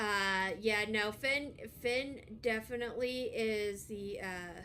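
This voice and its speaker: A bright, sharp tone carries at a very slow pace with fairly even intonation and audible room echo. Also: woman, fairly high pitch for a woman. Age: 30s. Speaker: vtuber streamer. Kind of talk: casual chat.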